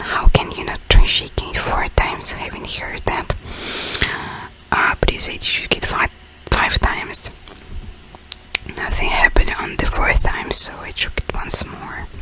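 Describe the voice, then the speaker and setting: A woman whispers at a moderate pace, with big swings in loudness and long, frequent pauses. Noticeable background noise is present. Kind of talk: reading video game dialogue aloud. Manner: whispered.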